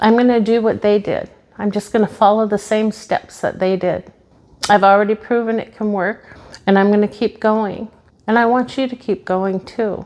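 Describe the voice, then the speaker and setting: A woman's unremarkable speaking voice, fairly high in pitch, with fairly even intonation at a moderate pace. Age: 50s. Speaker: motivational YouTuber. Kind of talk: motivational talk to camera. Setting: home office, seated on camera. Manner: earnest, direct address.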